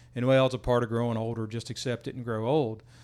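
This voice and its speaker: In a very clean recording with a silent background, a man with an American accent and a normal speaking voice talks fairly quickly at a medium pitch with fairly even intonation. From West Virginia. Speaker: military veteran sharing weight-loss journey. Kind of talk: casual chat.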